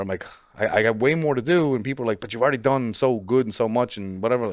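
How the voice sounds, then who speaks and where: This man talks at a fairly quick pace with a Newfoundland accent. His pitch sits in the medium range, with ordinary variation, over a quiet background. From Newfoundland, Canada. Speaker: professional bodybuilder. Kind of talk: casual chat.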